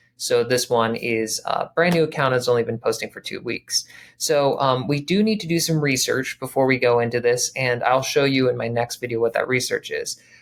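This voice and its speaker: A man's medium-pitched voice with ordinary pitch variation and hardly any pauses. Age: 30s. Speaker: branding consultant. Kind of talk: tutorial. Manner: fast.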